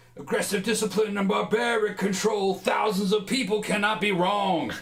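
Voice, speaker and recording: Putting on a guttural, growling character voice, a man speaks at a moderate pace in a high pitch. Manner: aggressive, death metal.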